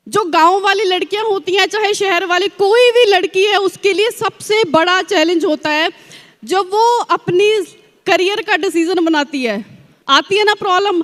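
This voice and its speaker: A woman with an extremely high pitch, ordinary pitch variation, and a Punjabi accent. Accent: Punjabi-accented Hindi. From Punjab, India (village). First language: Punjabi (speaking Hindi). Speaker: network marketing distributor. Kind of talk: motivational success-story speech. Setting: stage at large event with audience.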